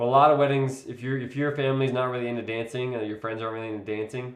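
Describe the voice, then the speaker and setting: Audible room echo fills the space. Within it, a man delivers his words very fast. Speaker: wedding videographer and vlogger. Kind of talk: live stream tutorial. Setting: live stream. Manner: casual, filler-heavy.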